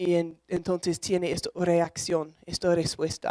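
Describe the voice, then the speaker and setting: Speaking at a fairly slow pace, a woman with a non-native accent talks at a medium pitch in a dry, close sound with no echo. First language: English (speaking Spanish). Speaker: emotion researcher and lecturer. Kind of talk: lecture. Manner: halting.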